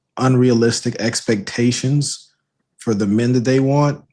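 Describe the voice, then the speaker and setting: At a fairly slow pace, a man speaks in a plain, everyday voice with fairly even intonation. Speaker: podcast host. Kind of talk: panel discussion.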